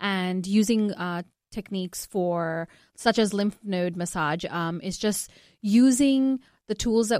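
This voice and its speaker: With a plain, everyday voice and ordinary pitch variation, a woman is heard in a very clean recording with a silent background and a dry, close sound with no echo. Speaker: nurse. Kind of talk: radio infomercial talk praising a clinic program. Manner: reassuring, friendly, sales-like.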